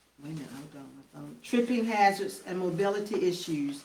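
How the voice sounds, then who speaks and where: A woman talks at a fairly quick pace with medium pitch and ordinary pitch variation. Noticeable background noise and audible room echo are present. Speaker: city council official. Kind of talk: public meeting report. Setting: council meeting, livestreamed. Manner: fast.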